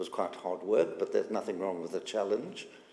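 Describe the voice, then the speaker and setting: A man talks with a South African accent. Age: 80s+. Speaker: synagogue community member. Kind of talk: personal testimony. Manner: halting, many fillers.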